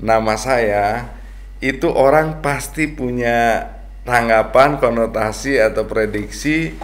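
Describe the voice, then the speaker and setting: A man speaks at a very slow pace. Noticeable background noise and audible room echo surround his voice. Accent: strong Sundanese. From West Java (Sundanese). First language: Sundanese (speaking Indonesian). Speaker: farmer and businessman. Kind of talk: podcast interview.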